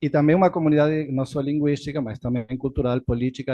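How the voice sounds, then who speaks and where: A man is speaking. He has a Spanish accent. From Argentina. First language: Spanish (speaking Portuguese). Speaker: political scientist, professor. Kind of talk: closing conference lecture. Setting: auditorium with audience. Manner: halting.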